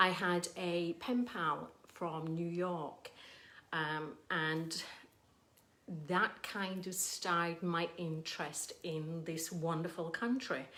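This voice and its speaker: Very slow and fairly even in intonation, a woman with an English accent speaks in a bright, sharp tone at a fairly low pitch. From England. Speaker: painter. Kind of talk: casual livestream chat. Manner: hesitant, many ums.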